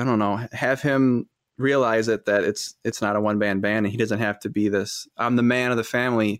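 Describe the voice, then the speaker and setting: In an American accent, a man with an unremarkable speaking voice talks at medium pitch and a fairly quick pace, his intonation fairly even, the sound dry and close with no echo on a very clean recording with a silent background. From Wisconsin, Fond du Lac. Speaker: entrepreneur, host's husband. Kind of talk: casual chat.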